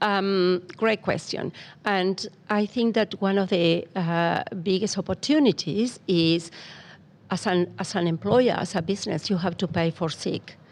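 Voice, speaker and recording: Ordinary pitch variation marks this fairly slowly paced speech. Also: woman, medium pitch for a woman. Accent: non-native. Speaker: migrant employment program coordinator. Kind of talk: podcast interview. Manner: hesitant, many fillers.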